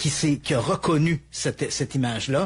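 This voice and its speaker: Speaking with a Quebec accent, a man with a fairly high pitch and a somewhat breathy voice keeps a moderate pace and ordinary pitch variation. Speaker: true crime storyteller. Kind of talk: true crime narration in conversation.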